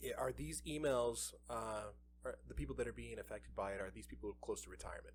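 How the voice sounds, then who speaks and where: A man speaks very fast. He is soft-spoken. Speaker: podcast co-host. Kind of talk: casual chat. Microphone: too far from the mic.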